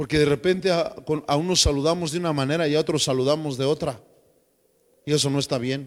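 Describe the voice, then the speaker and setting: Speaking with a Mexican accent, a man with a fairly high pitch and fairly even intonation goes at a very fast pace yet leaves long, frequent pauses. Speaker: pastor. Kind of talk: sermon.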